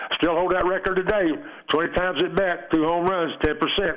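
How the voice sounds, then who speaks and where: Over noticeable background noise, a man with an East Tennessee accent talks at a high pitch. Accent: Southern US, East Tennessee. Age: 80s+. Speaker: retired baseball player. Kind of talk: phone interview. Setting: phone call.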